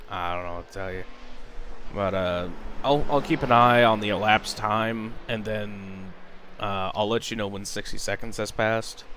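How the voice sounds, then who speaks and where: Amid audible room echo, a man with a fairly low pitch talks at a moderate pace with fairly even intonation. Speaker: race spotter. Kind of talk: casual chat. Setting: live stream. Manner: sometimes not projecting voice. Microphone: mic picks up quietly in stream.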